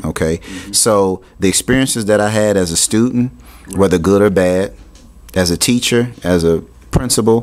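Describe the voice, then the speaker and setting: Noticeable background noise sits behind a man speaking. He has an American accent and ordinary pitch variation. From US Midwest, Cincinnati, Ohio. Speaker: author and education consultant. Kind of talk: radio interview.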